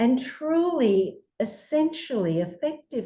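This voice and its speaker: A woman with an Australian accent, her tone dark and mellow, with very wide pitch swings. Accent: Australian, lasting. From Australia, Melbourne. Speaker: psychologist. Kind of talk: interview.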